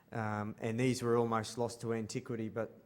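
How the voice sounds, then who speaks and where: Speaking with an Australian accent, a man of medium pitch keeps a moderate pace in a monotone, flat intonation. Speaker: space artist. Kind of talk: conference panel presentation. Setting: conference stage with audience. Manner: halting, many ums.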